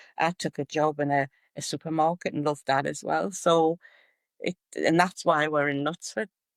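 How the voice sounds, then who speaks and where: A woman's very deep, low voice with a Geordie accent, at a moderate pace with fairly even intonation, dry and close with no echo on a very clean recording with a silent background. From northern England, Newcastle (Geordie). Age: 70s. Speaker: retired writer and social media humorist. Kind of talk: podcast interview.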